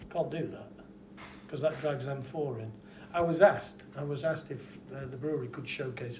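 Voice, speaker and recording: With noticeable noise in the background, the talking proceeds fairly quickly. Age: 60s. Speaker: pub landlord and trainee therapist for veterans. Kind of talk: interview.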